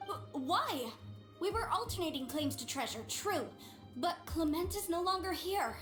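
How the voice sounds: Put-on character voice from a woman, extremely high in pitch, fairly bright in tone, with lively intonation at a fairly slow pace over faint background music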